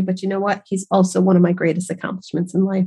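The voice belongs to a woman and is somewhat breathy. Her pitch falls in the medium range. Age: 50s. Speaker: podcast host, massage therapist and nutritionist. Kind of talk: personal storytelling monologue. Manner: chatty.

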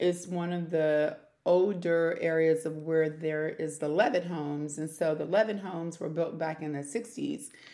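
A woman with an American accent and an ordinary speaking voice, fairly low in pitch, at a moderate pace. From Prince George's County, Maryland. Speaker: city council candidate. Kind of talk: interview. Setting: recorded as live.

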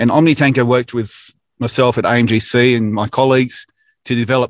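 Speaking in an Australian accent, a man delivers his words at a moderate pace with an enthusiastic tone. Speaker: manufacturing industry director. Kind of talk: casual interview, informative update. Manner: many filler words (uh, um).

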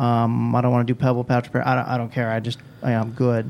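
At a fairly quick pace, a man with a medium pitch speaks in an American accent. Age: 40s. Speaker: pool industry sales rep. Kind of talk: casual interview. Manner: animated.

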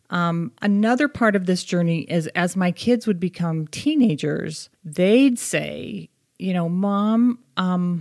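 A woman's medium-pitched voice with an American accent and lively intonation, at a very slow pace, dry and close with no echo, on a very clean recording with a silent background. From US Northeast, Boston area. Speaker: English teacher and advocacy co-founder. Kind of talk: casual chat.

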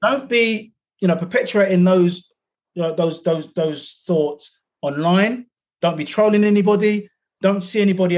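A man talks in a London accent with high pitch. His pace is moderate, with ordinary pitch variation. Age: 50s. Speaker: activist and author. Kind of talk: casual chat. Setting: video call.

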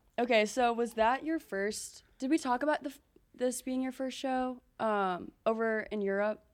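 A high-pitched woman's voice in an American accent, with ordinary pitch variation, on a very clean recording with a silent background. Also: moderate pace, big swings in loudness. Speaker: podcast host. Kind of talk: casual chat.

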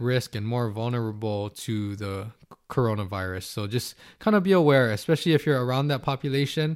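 A man with a plain, everyday voice, ordinary pitch variation and a moderate pace, on a very clean recording with a silent background. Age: 30s. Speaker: athletic trainer and podcast host. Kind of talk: solo podcast monologue.

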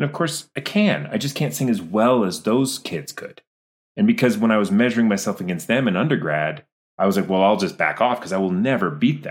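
The voice swings very widely in pitch, with vocal fry and a fairly quick pace. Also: man, medium pitch for a man. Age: 40s. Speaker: actor and director. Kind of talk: casual interview.

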